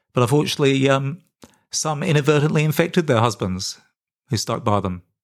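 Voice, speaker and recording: Fairly quick, fairly high-pitched male speech with an Australian accent. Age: 50s. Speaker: podcast host and health activist. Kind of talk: unscripted monologue. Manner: hesitant, many fillers.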